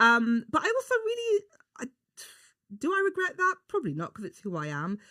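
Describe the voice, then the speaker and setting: Speaking in a London accent, a woman projects a raised voice with a bright, sharp tone, very wide pitch swings and a fairly quick pace. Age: 40s. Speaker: beauty journalist and broadcaster. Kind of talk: casual chat. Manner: animated.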